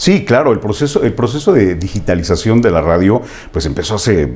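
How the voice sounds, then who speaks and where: Lively, shifting intonation from a man at a moderate speed, noticeable noise behind him. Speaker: radio announcer. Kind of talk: interview answer, casual conversation.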